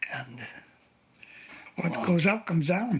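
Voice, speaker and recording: This man's voice sits fairly high, with ordinary pitch variation. There is noticeable background noise. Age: 80s+. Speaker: war veteran. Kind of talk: interview answer.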